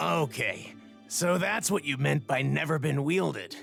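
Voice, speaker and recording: A man puts on a raspy character voice at a moderate pace. Clear music plays in the background. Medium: video game. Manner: earnest, stammering.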